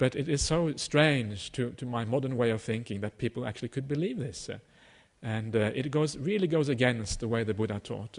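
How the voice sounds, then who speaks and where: A man at a fairly quick pace, medium pitch and ordinary pitch variation. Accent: Norwegian. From Norway. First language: Norwegian. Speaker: Buddhist teacher. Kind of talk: dharma talk. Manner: halting, many fillers.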